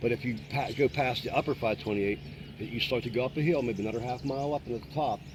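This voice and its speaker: Against noticeable background noise, a man with an American accent speaks at a very fast pace with lively intonation. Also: medium pitch for a man. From western Pennsylvania, Newcastle. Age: 60s. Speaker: local lake-goer. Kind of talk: casual chat. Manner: animated.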